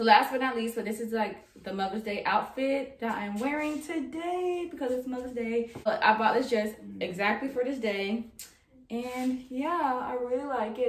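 At a moderate pace, a woman speaks with lively intonation in audible room echo. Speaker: fashion vlogger. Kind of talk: casual vlog chat. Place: empty room.

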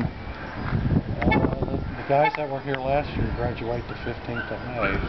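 Loud background noise fills the clip. The speech goes at a very slow pace. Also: man. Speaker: builder showing his work. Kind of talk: casual explanation on a work site. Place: garden. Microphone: phone near.

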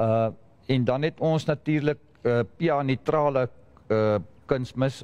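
A man with a South African accent. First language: Afrikaans. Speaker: fertilizer specialist. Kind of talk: panel discussion. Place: hall.

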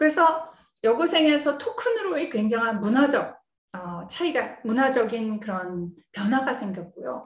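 A woman with a high pitch talks at a fairly slow pace, her voice showing very wide pitch swings and big swings in loudness. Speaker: computer science professor. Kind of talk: lecture.

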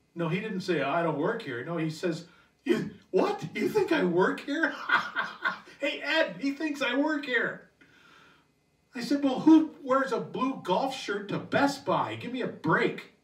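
At an extremely high pitch, a man speaks slowly with very wide pitch swings, with audible room echo against a quiet background. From Canada. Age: 60s. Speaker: stand-up comedian. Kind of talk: stand-up comedy set. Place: home room.

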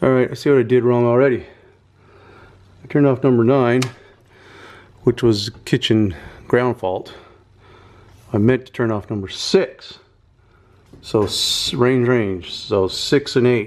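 A man talks at a fairly slow pace with ordinary pitch variation and long, frequent pauses. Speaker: home renovation vlogger. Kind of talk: casual vlog chat. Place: kitchen. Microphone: phone near.

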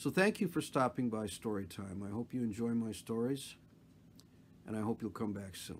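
A man's plain, everyday voice at a medium pitch with ordinary pitch variation and a moderate pace, in a very clean recording with a silent background. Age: 60s. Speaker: retired television producer. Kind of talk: casual talk to camera.

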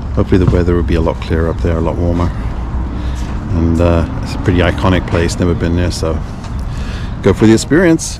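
Speaking at a very fast pace with ordinary pitch variation, a man comes through dry with no echo over noticeable background noise. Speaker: motorcycle vlogger. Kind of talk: casual vlog chat. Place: street. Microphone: helmet.

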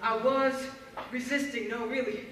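A woman speaks in an animated, intense tone at a high pitch. Light background noise and audible room echo are present. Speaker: spoken word poet. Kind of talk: spoken word poetry performance. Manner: intense, impassioned, urgent; animated, rhythmic, building to a plea. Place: hall. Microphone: camera far.

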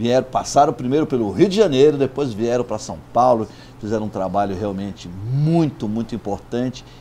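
A man with lively intonation. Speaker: magazine host interviewer. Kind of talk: interview introduction and questions. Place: cafe. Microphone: lapel.

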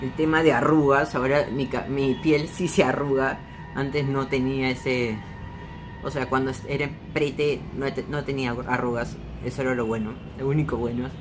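With music in the background, a man speaks in a Peruvian accent using monotone, flat intonation. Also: moderate pace. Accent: Peruvian Spanish (Lima). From Peru, Lima. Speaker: vlogger. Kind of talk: casual vlog monologue. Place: home room. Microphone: phone near.

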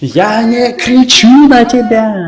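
Shouting in a cartoonish character voice at a fairly high pitch, the speaker is heard over light background noise. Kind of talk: dubbed cartoon dialogue, shouting. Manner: shouting, angry, denying. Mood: angry, irritated.

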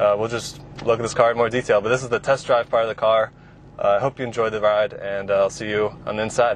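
Monotone and flat, the voice moves at a very fast pace, dry with no echo, over light background noise. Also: man. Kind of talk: casual review commentary. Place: car.

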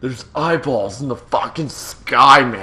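The speaker is a man using a put-on character voice. His pitch sits at medium and his pace is fairly slow. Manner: slow, dazed, stoner drawl.

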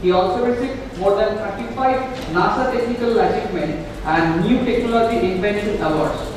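Over noticeable background noise and strong room echo, a man with a high pitch speaks at a fairly quick pace with ordinary pitch variation. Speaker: event emcee. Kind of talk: formal announcements. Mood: formal, polite. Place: hall.

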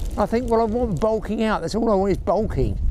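Amid noticeable background noise, a man talks at a fairly quick pace with a high pitch. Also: dry sound with no echo. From England. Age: 70s. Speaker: fishing video host. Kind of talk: vlog narration. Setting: outdoors on a beach. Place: beach. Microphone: phone near.

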